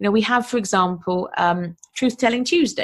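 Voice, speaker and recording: This woman has a British accent and a somewhat breathy voice. Her pitch varies in an ordinary way. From UK. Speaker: podcast host and online business coach. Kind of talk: solo podcast monologue. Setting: recording alone for podcast. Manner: casual, enthusiastic.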